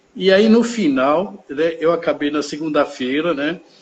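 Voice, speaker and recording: Speaking with lively intonation, this man has a fairly high voice. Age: 60s. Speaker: volunteer administrator. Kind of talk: interview. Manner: halting, many fillers.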